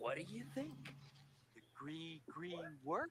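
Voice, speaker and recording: In a put-on character voice, someone speaks at a middle pitch and a fairly slow pace. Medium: game stream.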